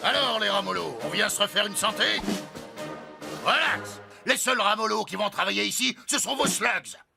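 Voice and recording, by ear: Over faint music in the background, a man puts on a cartoonish character voice, high-pitched, bright and sharp, with lively intonation, vocal fry and a moderate pace.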